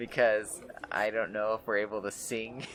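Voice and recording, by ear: The text is read aloud in a natural voice.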